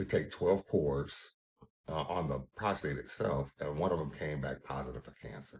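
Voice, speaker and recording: Vocal fry, big swings in loudness, ordinary pitch variation, and a moderate pace. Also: man, very deep, low pitch for a man. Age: 50s. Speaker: caregiver, cancer survivor. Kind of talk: testimony.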